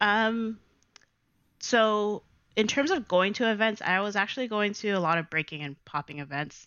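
Here is a woman with a Toronto accent and a medium pitch. She talks at a moderate pace with lively intonation. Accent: Canadian English, Toronto. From Canada, Toronto (Jane and Weston). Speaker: DJ and dancer. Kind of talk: casual interview chat.

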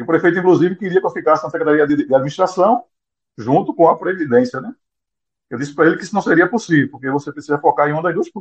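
A man talks at a very fast clip in a high voice with lively intonation. His loudness swings widely. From Brazil, Pernambuco (Vicência). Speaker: association president, former biology teacher. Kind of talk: interview.

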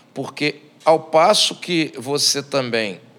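Against noticeable background noise, a man speaks in a fairly high pitch with ordinary pitch variation. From Brazil, Espírito Santo. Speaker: samba composer and singer. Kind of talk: casual chat. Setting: bar.

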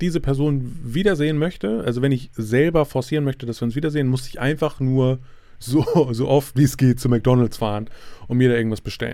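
A man's dark, mellow tone sits at a medium pitch with ordinary pitch variation. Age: 30s. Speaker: podcaster. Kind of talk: solo podcast monologue. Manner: halting, many fillers.

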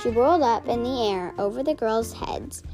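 The intonation is lively in an unforced reading voice.

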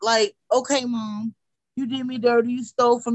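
A woman with an unremarkable speaking voice, fairly high in pitch, with fairly even intonation, a moderate pace and an American accent. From Wichita, Kansas, US. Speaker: rapper. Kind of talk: casual interview.

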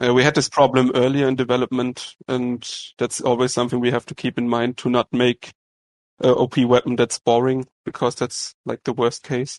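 The speaker uses a monotone, flat intonation with a German accent at a moderate pace, in a dry, close sound with no echo and a quiet background. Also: man, medium pitch for a man. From Germany. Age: 20s. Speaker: game developer. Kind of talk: interview.

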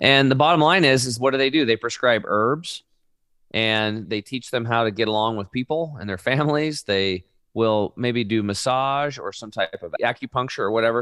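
A man with an American accent and a bright, sharp tone, at a moderate pace with ordinary pitch variation, in a dry, close sound with no echo. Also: medium pitch for a man, very clean recording, silent background. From Oregon, US. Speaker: health coach, product company founder. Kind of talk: interview.

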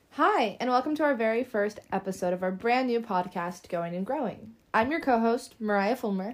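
With a plain, everyday voice, a woman speaks at a moderate pace and a fairly high pitch, her intonation lively and hardly any pauses between words. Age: 20s. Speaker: podcast co-host, college student. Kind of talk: casual chat. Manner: frequent filler words.

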